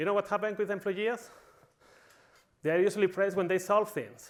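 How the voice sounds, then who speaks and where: A man's high-pitched voice with a Spanish accent. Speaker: conference speaker. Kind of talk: conference talk. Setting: stage with audience. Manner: animated.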